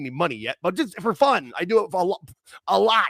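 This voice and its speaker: A man talks at a very fast pace in a high pitch with very wide pitch swings, recorded with a dry, close sound and no echo. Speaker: wrestling show host. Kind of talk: casual chat. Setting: livestream.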